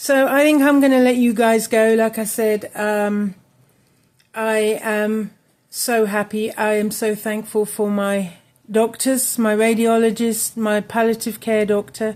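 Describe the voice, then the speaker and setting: A woman with an English accent talks at a fairly slow pace and a fairly high pitch in a monotone, flat way. The recording is very clean with a silent background. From England. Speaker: crochet crafts YouTuber. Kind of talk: casual chat to camera. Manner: halting, many fillers.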